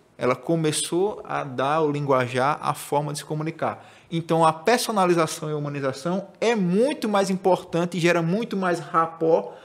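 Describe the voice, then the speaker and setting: A man speaks at a moderate pace in a high pitch. Noticeable background noise runs underneath. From Northeast Brazil, Maceió (Alagoas). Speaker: digital marketing specialist. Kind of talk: podcast conversation.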